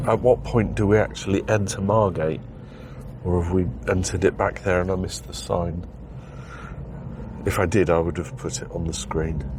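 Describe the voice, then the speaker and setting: Against noticeable background noise, a man with a very deep, low pitch speaks at a moderate pace, with ordinary pitch variation and long, frequent pauses. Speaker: driving video vlogger. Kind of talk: driving commentary vlog. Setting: in a car. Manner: casual, chatty.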